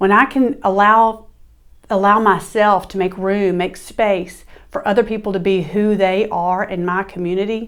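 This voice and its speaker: The speaker has a Southern US accent and keeps a moderate pace. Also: woman, medium pitch for a woman. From US South. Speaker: podcast host. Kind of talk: monologue. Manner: animated.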